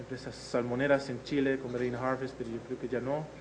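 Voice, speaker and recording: There is audible room echo as a man speaks at a medium pitch and a moderate pace. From Netherlands. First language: Dutch (speaking Spanish). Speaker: agricultural innovation researcher. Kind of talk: lecture. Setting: video conference. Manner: hesitant, frequent fillers.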